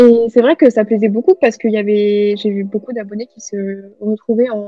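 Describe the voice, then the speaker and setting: A woman with a fairly high pitch talks at a fairly quick pace in a flat, monotone intonation. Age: 20s. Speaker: novelist. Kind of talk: interview.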